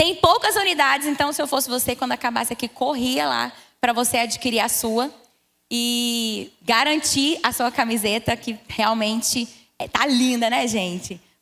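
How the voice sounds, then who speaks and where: With a goiano accent, a woman speaks at a high pitch and a fairly slow pace, with ordinary pitch variation. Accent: goiano accent, noticeable. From Brazil, Goiás. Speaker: pastor. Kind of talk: church talk.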